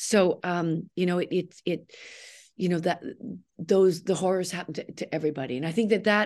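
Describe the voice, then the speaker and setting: A woman with a Canadian accent and a plain, everyday voice, fairly low in pitch, at a moderate pace against a quiet background. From Canada. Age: 60s. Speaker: actress. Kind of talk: interview.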